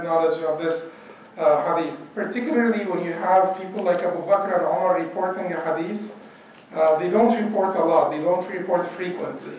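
Speaking at a fairly quick pace, a man uses a high pitch. Light background noise and audible room echo are present. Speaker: religious teacher. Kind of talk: lecture. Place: church.

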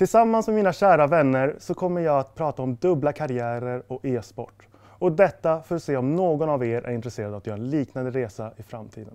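A man with a fairly high pitch, dark, mellow tone and lively intonation, talking at a fairly quick pace with hardly any pauses against a quiet background. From Stockholm, Sweden. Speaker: sport psychology student, former esports player; esports coach. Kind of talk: scripted presentation. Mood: friendly, calm, smiling. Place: studio.

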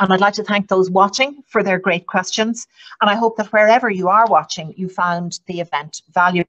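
A woman speaks in an Irish accent at a moderate pace. Her pitch varies in an ordinary way against a quiet background. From Ireland. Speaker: diplomat and event moderator; event moderator. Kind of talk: webinar moderation. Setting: online event. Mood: polite, formal, warm. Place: office. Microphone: video call.

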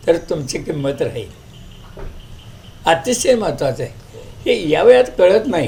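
A man's high voice moves through very wide pitch swings. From Kolhapur district, Maharashtra. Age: 80s+. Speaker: retired schoolteacher. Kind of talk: interview.

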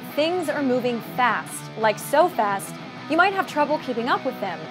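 With music in the background, a woman speaks at a moderate pace in an upbeat tone, her high voice moving through very wide pitch swings. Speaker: TV host, entertainment reporter. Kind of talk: TV show anchor intro.

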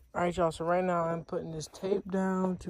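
A plain, everyday voice from a woman, fairly low in pitch with ordinary pitch variation, in a dry sound with no echo. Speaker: car enthusiast vlogger. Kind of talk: casual vlog chat. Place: street. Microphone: phone near.

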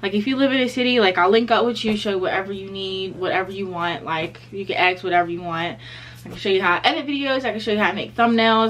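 Light background noise sits beneath a woman who speaks at a very fast pace. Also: ordinary pitch variation. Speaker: vlogger. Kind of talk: casual vlog chat. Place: home room. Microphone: phone near.

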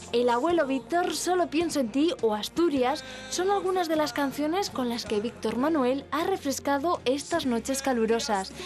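Music plays behind a woman's high voice, which moves at a moderate pace with lively intonation and very even loudness. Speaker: TV reporter. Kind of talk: TV news report narration.

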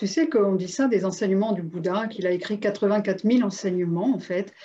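A woman talks at a moderate pace with medium pitch and ordinary pitch variation. It is a normal speaking voice. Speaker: interviewer and coach; interviewer, coach. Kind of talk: interview, casual and warm. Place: home room. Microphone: video call.

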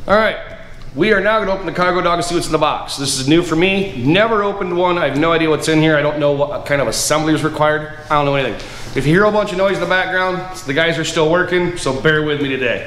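This man has a high-pitched voice with ordinary pitch variation. Light background noise and audible room echo are present. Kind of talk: casual how-to commentary. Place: garage. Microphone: camera far.

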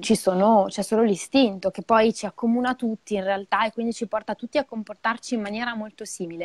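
A woman's fairly high voice, fairly even in intonation, with big swings in loudness, a fairly quick pace and a dry sound with no echo. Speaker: midwife; guest. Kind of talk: educational live talk. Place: home room. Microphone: earbuds.

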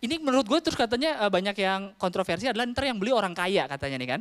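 A man races along at a very fast pace, and the background is quiet. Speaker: stand-up comedian. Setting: stage with audience. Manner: casual Jakarta-style slang, conversational and quick. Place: stage. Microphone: handheld.

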